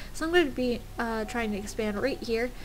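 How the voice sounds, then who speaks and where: Noticeable background noise and audible room echo surround a woman with a fairly high pitch. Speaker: gamer commentating own match. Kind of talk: gameplay commentary. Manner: fast; hesitant, many fillers.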